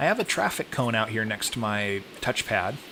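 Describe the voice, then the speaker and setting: Noticeable background noise is heard throughout. The speaking moves at a fairly quick pace. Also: man. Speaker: dog trainer. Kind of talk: voice-over narration of training footage. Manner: fast.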